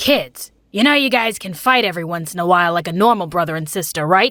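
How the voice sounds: Over a very clean recording and silent background, a female-sounding voice does a put-on character voice at middle pitch and a very fast pace.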